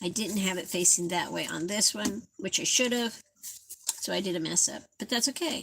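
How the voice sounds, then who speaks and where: An unremarkable speaking voice from a woman, at a moderate pace with ordinary pitch variation. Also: medium pitch for a woman. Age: 60s. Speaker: craft livestreamer. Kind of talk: casual live craft tutorial. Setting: livestream at home.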